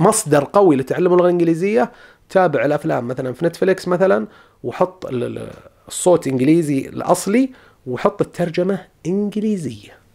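This man's voice sits high, and he talks at a moderate pace with lively intonation. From Saudi Arabia. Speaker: study-abroad advice YouTuber. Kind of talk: tutorial. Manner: casual, conversational.

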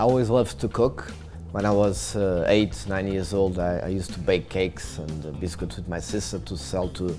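Clear music plays in the background as a man with a very deep, low pitch speaks at a moderate pace. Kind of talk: interview answer. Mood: warm, passionate. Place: cafe. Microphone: lapel.

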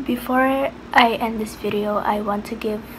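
A woman is heard with noticeable background noise around her. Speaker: vlogger. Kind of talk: casual vlog chat. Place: home room. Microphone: phone near.

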